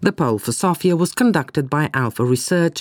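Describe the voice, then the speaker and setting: Her pitch swings very widely as the woman speaks at a moderate pace. The sound is dry and close with no echo, on a very clean recording with a silent background. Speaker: radio host and newsreader. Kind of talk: news reading. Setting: radio studio. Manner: formal; steady, measured newsreader pace.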